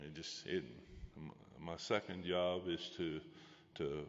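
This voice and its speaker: A man's voice is heard. It sits very deep and low in pitch. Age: 60s. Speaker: rodeo stock contractor. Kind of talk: acceptance speech. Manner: halting, many repetitions.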